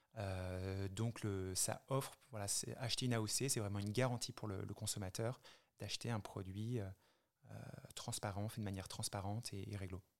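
A man with a fairly low pitch speaks at a moderate pace. His pauses are long and frequent. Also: fairly even intonation. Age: 30s. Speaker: spirits brand founder. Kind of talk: interview. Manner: halting.

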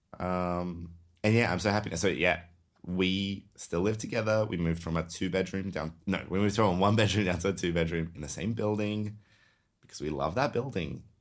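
A man's very deep, low voice moves at a fairly quick clip with ordinary pitch variation, captured on a very clean recording against a silent background. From Serbia. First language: Serbian. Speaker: podcast host. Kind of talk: casual chat. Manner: animated.

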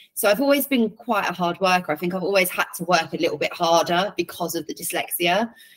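Speaking at a very fast pace with hardly any pauses, a woman with an English accent uses a medium pitch and ordinary pitch variation. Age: 30s. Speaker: football commentator and presenter. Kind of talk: interview.

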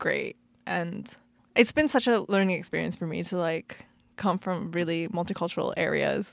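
A woman talks at a moderate pace in a very clean recording against a silent background. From Canada. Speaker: podcast host and DJ. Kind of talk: casual interview. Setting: studio.

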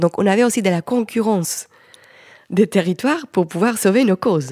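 A woman's dark, mellow tone at a very fast pace, dry and close with no echo, in a very clean recording with a silent background. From Colombia. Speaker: film director and environmental activist. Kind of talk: panel discussion. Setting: stage with audience.

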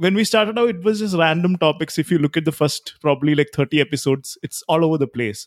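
A high-pitched man at a very fast pace with lively intonation, dry and close with no echo, on a very clean recording with a silent background. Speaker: podcaster. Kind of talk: casual interview chat. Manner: filler-heavy.

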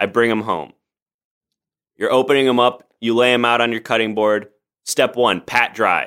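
The speech comes in an American accent at a moderate pace. Intonation stays fairly even, with long, frequent pauses. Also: man, medium pitch for a man. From US Midwest, Chicago suburbs (Oak Park). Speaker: improv comedian. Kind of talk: casual chat. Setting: home studio, remote recording.

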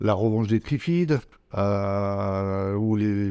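A dark, mellow male voice with fairly even intonation and a quiet background. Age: 50s. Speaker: horror film producer and distributor. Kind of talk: interview. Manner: hesitant, many fillers.

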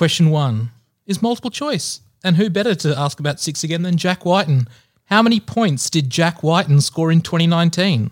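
This man has a high-pitched voice with an Australian accent. His intonation is lively. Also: moderate pace. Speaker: sports trivia quiz master. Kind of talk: quiz reading.

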